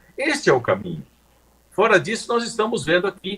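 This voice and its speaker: A man speaks with lively intonation. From Paraná, southern Brazil. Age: 70s. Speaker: politician. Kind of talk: live interview.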